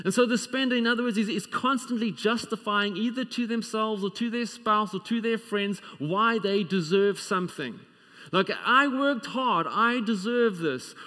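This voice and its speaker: A man's raised, projected voice, bright and sharp, with ordinary pitch variation at a moderate pace against a quiet background. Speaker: preacher. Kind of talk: sermon. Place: church.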